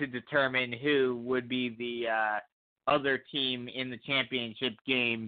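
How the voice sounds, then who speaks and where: A man with an American accent speaks at a fairly slow pace, his medium-pitched voice flat and monotone. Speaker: sports broadcaster. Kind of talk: casual chat.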